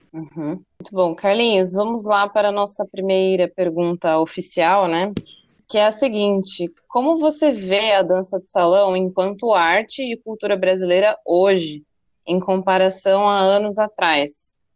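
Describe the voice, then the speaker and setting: A woman with an unremarkable speaking voice talks fairly slowly, with ordinary pitch variation and big swings in loudness. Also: medium pitch for a woman. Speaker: podcast host, dance teacher. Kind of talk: casual interview.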